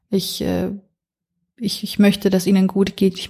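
A woman's voice sounds dark, mellow and somewhat breathy. The recording is very clean, with a silent background. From northern Iraq, then Franconia (Nuremberg) from age nine. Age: 30s. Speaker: podcast foreign-news reporter. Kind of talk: casual interview chat.

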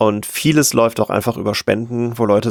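A man talks at a very fast pace, his medium-pitched voice captured with a dry, close sound and no echo. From western Germany, near Cologne. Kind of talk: casual interview. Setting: remote call.

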